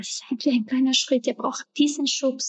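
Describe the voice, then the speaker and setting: Speaking at a moderate pace, a woman with a Spanish accent has a high pitch. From Ecuador. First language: Spanish (speaking German). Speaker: actress and entrepreneur. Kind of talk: interview. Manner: hesitant, many filler sounds.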